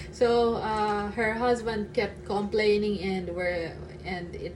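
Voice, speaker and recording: A woman with a Filipino accent speaks at a medium pitch. Audible room echo and noticeable background noise surround her. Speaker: vlogger. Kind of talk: casual vlog chat. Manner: halting, with fillers and stutters.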